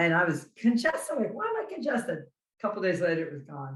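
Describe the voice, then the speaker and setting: A woman speaks in a New Jersey accent at a fairly high pitch. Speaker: carnivore diet content creator. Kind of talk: casual chat.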